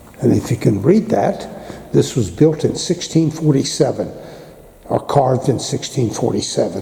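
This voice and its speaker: A man speaks in a fairly high pitch at a fairly slow pace. His intonation is lively, and there is noticeable background noise. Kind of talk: casual tour narration to camera. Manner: hoarse, congested.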